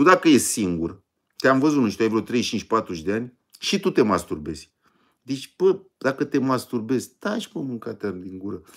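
Against a quiet background, a man speaks in an animated tone at a medium pitch and moderate pace, his pitch swinging very widely. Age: 50s. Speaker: online video host, diet and sport channel; online video host. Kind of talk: casual live stream chat with viewers. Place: home room. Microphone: phone near.

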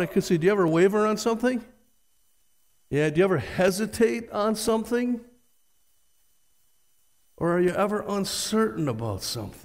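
Against a quiet background, a man talks at a moderate pace with a high pitch and ordinary pitch variation. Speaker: pastor. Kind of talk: sermon. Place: church.

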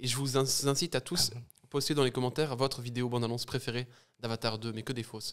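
A man speaks at a very fast pace, his medium-pitched voice keeping a fairly even intonation. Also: quiet background. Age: 20s. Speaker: podcast guest. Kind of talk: casual chat. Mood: light, joking tone. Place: studio. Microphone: studio mic.

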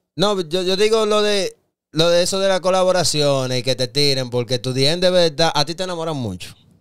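Against a quiet background, someone with a Dominican accent speaks at a fairly quick pace with lively intonation. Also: man, high pitch for a man. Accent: typical Dominican, clipped words. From Dominican Republic. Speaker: podcast co-host. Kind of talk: casual interview chat. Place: studio. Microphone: studio mic.

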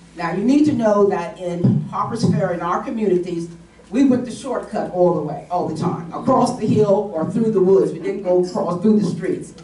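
Amid audible room echo, a woman with an American accent talks at a moderate pace with ordinary pitch variation. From West Virginia. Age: 80s+. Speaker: retired teacher and panelist. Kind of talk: panel discussion, personal recollection. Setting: stage with audience, microphone. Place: meeting room.

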